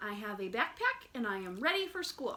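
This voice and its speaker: A woman puts on a character voice in a high pitch. She keeps a moderate pace. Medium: read story. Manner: earnest, eager.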